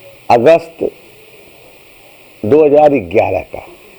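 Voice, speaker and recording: Noticeable background noise under a man's fairly high voice, ordinary in its pitch variation. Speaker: pulmonary medicine professor. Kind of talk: autobiographical storytelling.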